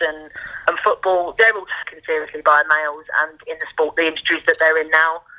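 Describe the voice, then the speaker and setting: She speaks with a Cockney accent. Her pitch is fairly low for a woman. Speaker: boxing journalist. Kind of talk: casual chat.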